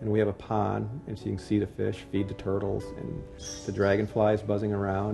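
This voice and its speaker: Music plays behind a man speaking at a very fast pace. He has a fairly low voice and an American accent. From Ohio, USA. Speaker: sculptor. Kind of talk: interview answer. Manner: soft-spoken, shy.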